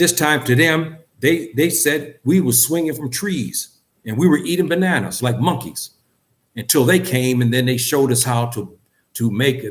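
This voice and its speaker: A man's somewhat breathy, medium-pitched voice at a moderate pace with ordinary pitch variation. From US West Coast. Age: 60s. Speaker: community speaker. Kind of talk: lecture. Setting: gathering with audience. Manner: impassioned.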